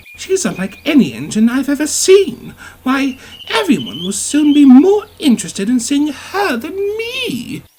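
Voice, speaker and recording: A man adopts a put-on character voice at an extremely high pitch. He moves at a moderate pace, with very wide pitch swings. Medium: read story. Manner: prim, fussy.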